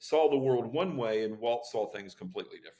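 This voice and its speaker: With an ordinary speaking voice, a man talks at a fairly quick pace, using a medium pitch and ordinary pitch variation. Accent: American. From Florida. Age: 60s. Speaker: author and keynote speaker. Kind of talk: podcast interview.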